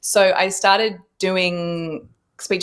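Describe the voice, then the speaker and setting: In an Australian accent, a woman speaks with monotone, flat intonation. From Western Australia (Perth). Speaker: actress. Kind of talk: interview.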